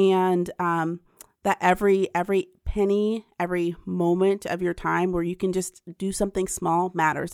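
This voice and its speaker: Recorded very cleanly with a silent background and a dry, close sound with no echo, a woman speaks at a medium pitch in a Midwestern American accent. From central Ohio. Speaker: philanthropy advocate. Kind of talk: interview.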